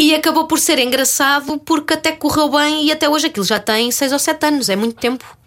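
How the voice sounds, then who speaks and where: A woman with a high pitch, a fairly quick pace and very even loudness. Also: ordinary pitch variation, hardly any pauses. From Portugal, Ramalhal (Torres Vedras area). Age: 30s. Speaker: actress. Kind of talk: casual chat.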